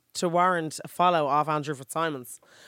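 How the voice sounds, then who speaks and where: Someone speaks at a fairly quick pace with an Irish accent in a very clean recording with a silent background. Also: woman. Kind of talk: casual chat. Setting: recording studio.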